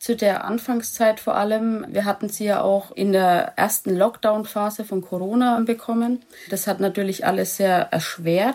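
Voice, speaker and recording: A woman's normal speaking voice at a fairly slow pace, with ordinary pitch variation and hardly any pauses. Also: medium pitch for a woman. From Lower Franconia, Germany. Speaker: dog owner, animal welfare volunteer. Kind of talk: interview.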